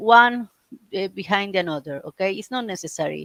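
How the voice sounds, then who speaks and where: A woman with a Spanish accent speaks at a moderate pace with lively intonation. The sound is dry and close, without echo. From Argentina. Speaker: reiki teacher. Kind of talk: live stream talk. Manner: halting.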